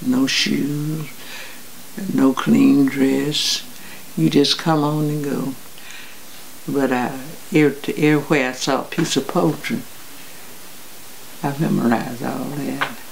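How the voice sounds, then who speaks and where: Over noticeable background noise, a woman with a very deep, low pitch and ordinary pitch variation speaks at a very slow pace, leaving long, frequent pauses. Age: 80s+. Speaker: public speaker. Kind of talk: interview answer.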